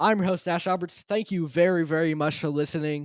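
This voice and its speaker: A man with a high voice speaks at a fairly quick pace, with ordinary pitch variation. The recording is very clean, with a silent background. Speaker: sports podcast host. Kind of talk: unscripted solo podcast monologue. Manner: free-flowing, conversational.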